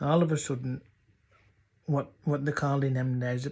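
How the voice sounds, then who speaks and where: A man's fairly high, somewhat breathy voice in a North Yorkshire accent, at a moderate pace with monotone, flat intonation, on a very clean recording with a silent background. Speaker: dialect storyteller. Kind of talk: humorous dialect story.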